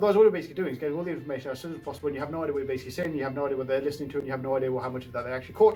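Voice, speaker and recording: A man talks with a fairly high pitch while music sounds in the background. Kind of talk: casual talk to camera.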